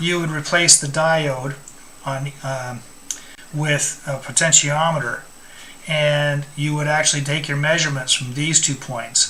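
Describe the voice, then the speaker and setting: Against noticeable background noise, a man talks at a fairly slow pace in a fairly high pitch with monotone, flat intonation. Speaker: electronics instructor. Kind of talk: tutorial. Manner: halting, with fillers.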